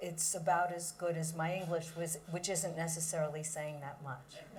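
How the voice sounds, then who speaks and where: A woman speaks at a fairly low pitch. Audible room echo and noticeable background noise are present. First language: Yiddish. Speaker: performer and writer. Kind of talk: panel discussion. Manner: hesitant, many fillers.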